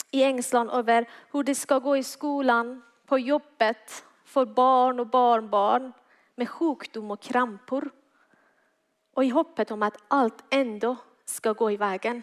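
Speaking very slowly with a non-native accent, a woman uses a high pitch and fairly even intonation. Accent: foreign accent in Swedish. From Iran. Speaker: guest preacher. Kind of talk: sermon. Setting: church.

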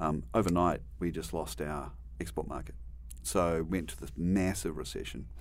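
With vocal fry and a New Zealand accent, a man speaks at a moderate pace in a very deep, low pitch. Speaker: university dean, veterinarian and scientist. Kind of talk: interview.

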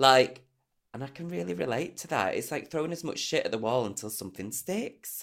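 On a very clean recording with a silent background, a man speaks at a medium pitch and a fairly quick pace. His tone is animated, with very wide pitch swings and vocal fry. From northern England, Manchester/Preston. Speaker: comedian and podcast co-host. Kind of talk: casual chat.

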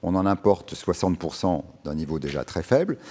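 This man's voice sits very deep and low. Its tone is dark and mellow. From Lorraine, near Nancy, eastern France. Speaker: urban farm co-founder. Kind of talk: public panel discussion. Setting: stage with audience.

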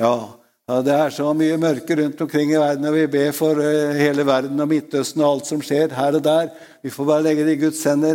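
Here is a man with a fairly high voice and a dark, mellow tone. He speaks in a monotone, flat way. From Norway, Østfold (Råde). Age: 80s+. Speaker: preacher. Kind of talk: sermon. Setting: church.

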